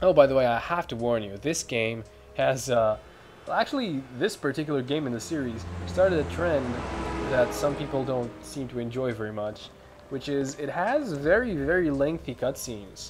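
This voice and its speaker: A man at medium pitch with lively intonation and a moderate pace, noticeable background noise behind him. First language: not English. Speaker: gaming video host. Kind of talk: let's play commentary. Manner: casual with hesitations.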